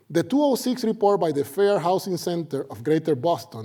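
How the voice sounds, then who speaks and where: With a Puerto Rican accent, a man speaks at a fairly quick pace in a high pitch with very wide pitch swings and a dark, mellow tone. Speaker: sociology professor. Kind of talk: lecture. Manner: animated.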